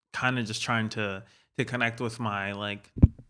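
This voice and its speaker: In a Spanish accent, a bright, sharp voice speaks at a fairly slow pace with fairly even intonation on a very clean recording with a silent background. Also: man. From Gettysburg, Pennsylvania, US. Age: 20s. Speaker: graphic designer. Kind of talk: casual chat.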